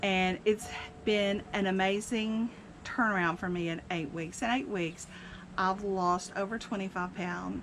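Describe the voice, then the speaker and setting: Her intonation is fairly even and her pitch medium. The woman talks at a fairly slow pace. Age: 60s. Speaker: senior living community vlogger. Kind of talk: personal testimony. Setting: outdoors on a cabin porch. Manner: casual, hesitant with fillers.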